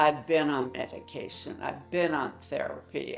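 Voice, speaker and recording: Music runs in the background. The speaking is fairly slow. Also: woman. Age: 70s. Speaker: patient giving testimonial. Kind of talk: testimony.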